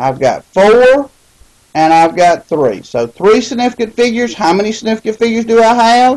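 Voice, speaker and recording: Here is a woman with an unremarkable speaking voice. Her pitch sits fairly high, and her intonation is lively. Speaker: chemistry teacher. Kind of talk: recorded lecture.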